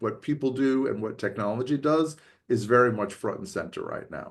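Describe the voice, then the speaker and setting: The background is quiet. A man speaks at medium pitch with ordinary pitch variation. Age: 60s. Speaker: business school professor. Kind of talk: podcast interview. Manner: halting, many fillers.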